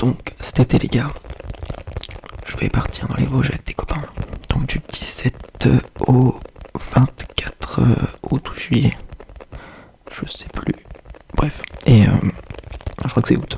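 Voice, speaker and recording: Whispering at a very slow pace with long, frequent pauses, a man shows big swings in loudness over noticeable background noise. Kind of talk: ASMR soft spoken chat. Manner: soft-spoken.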